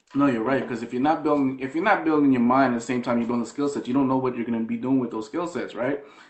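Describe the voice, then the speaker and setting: Talking at a very fast pace with hardly any pauses, a man keeps a medium pitch and fairly even intonation. Noticeable background noise runs underneath. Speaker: online marketing livestreamer. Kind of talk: casual chat.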